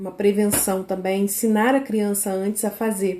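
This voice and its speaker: A woman's dark, mellow tone at a fairly slow pace. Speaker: parenting educator for mothers of children with ADHD. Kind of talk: live stream talk. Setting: live on social media.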